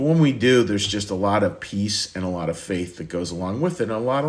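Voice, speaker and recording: Lively intonation against audible room echo and noticeable background noise. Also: man. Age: 60s. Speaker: pastor. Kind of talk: sermon. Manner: halting, frequent repetitions.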